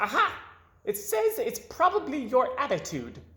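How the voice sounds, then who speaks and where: This put-on character voice is high-pitched and squeaky, with very wide pitch swings. The pace is moderate. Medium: read story. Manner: stammering.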